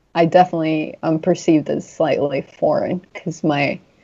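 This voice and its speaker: This woman has a very deep, low pitch and a dark, mellow tone. She speaks with an American accent and fairly even intonation. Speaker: food entrepreneur and cookbook author. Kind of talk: podcast interview. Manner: hesitant, many fillers.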